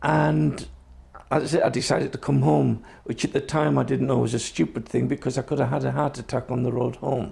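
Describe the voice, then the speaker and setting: Speaking at a fairly quick pace with very even loudness, a man at medium pitch makes very wide pitch swings and shows vocal fry. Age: 60s. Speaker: Traveller community health advocate. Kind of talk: personal testimony.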